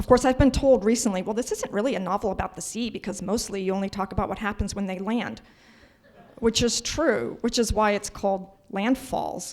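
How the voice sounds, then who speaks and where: A woman's pitch varies in an ordinary way while noticeable background noise carries on. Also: medium pitch for a woman, fairly quick pace. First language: not English. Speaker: novelist. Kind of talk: panel discussion.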